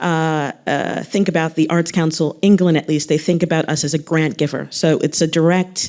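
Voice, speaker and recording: Speaking with an American accent at a very deep, low pitch, a woman keeps her intonation fairly even and her loudness very even, with hardly any pauses, on a very clean recording with a silent background. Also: moderate pace. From United States. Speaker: arts council executive. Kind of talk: panel discussion.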